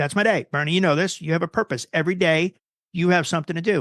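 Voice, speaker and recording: A man with an American accent speaks at a very fast pace in a high pitch, with an animated tone and ordinary pitch variation. The sound is dry and close with no echo, against a quiet background. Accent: New Jersey accent, came back after fading. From New Jersey. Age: 50s. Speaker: guitar tech and production manager. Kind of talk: podcast interview.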